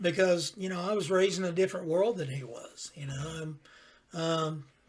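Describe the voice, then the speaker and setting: With noticeable background noise behind him, a man speaks at a moderate pace in a high pitch, with ordinary pitch variation and big swings in loudness. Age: 50s. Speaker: podcast host and father. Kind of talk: casual chat.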